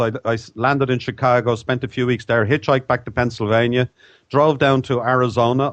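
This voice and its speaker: This is a man speaking. He has an Irish accent. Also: quiet background. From Ireland. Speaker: author. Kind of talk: interview.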